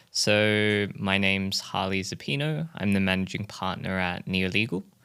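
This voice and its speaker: A man with an Australian accent speaks fairly slowly in a very deep, low voice with a bright, sharp tone, recorded very cleanly against a silent background. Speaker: crypto lawyer, law firm managing partner. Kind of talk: casual interview.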